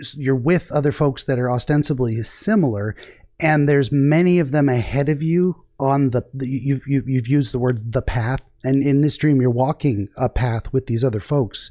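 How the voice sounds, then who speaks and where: In a very clean recording with a silent background, a man with a dark, mellow tone talks at a moderate pace, using a medium pitch and ordinary pitch variation. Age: 40s. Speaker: dream interpretation channel host. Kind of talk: casual chat.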